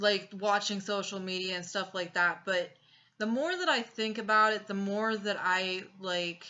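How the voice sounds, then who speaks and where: A woman talks in an ordinary speaking voice at a medium pitch. Her pace is fairly slow and her intonation fairly even. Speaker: tarot reader. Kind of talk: tarot reading. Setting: home recording with incense.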